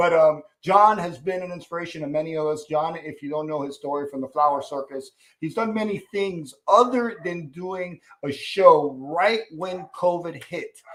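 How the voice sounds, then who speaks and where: This man's voice is high in pitch, with ordinary variation. He keeps a moderate pace with big swings in loudness. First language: Spanish. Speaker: talk show host. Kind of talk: live interview show. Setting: YouTube live video call. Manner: enthusiastic, with hesitations.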